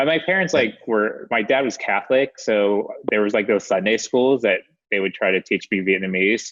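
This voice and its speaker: With an American accent and a normal speaking voice, a man talks at a moderate pace in a medium pitch, his intonation lively and his loudness very even. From US, Maryland near DC. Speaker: documentary film director. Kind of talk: casual chat interview. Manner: casual, many fillers.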